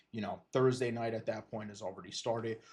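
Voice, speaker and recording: A man with a Philadelphia accent speaks in a dark, mellow tone. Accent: Philadelphia-area American. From eastern Pennsylvania, Lehigh Valley. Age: 20s. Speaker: sports podcaster and streamer. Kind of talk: casual livestream talk. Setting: livestream on camera. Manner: hesitant, many fillers and restarts.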